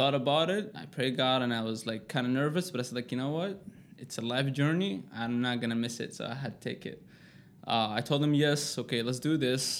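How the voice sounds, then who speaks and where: At a fairly quick pace, a man with an Arabic accent speaks at a medium pitch with ordinary pitch variation. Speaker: personal trainer, formerly homeless. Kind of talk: interview, personal life story.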